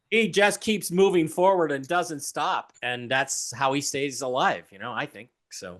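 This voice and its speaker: Against a quiet background, a man uses a normal speaking voice, pitched fairly high. His intonation is lively and his pace is fairly slow. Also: big swings in loudness. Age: 60s. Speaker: author and TV personality. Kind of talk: interview conversation.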